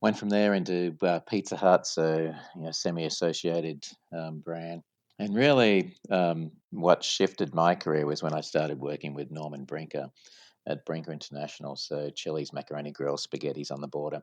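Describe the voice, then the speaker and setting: With an Australian accent, the speaker talks at a moderate pace with fairly even intonation against a quiet background. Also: man, very deep, low pitch for a man. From Australia, Sydney. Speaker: franchise company CEO. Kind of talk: podcast interview.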